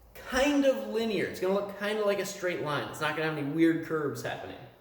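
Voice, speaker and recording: A man with a high pitch speaks in an animated tone with lively intonation. Audible room echo and noticeable background noise are present. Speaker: high school math teacher. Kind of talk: recorded lecture. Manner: casual, animated.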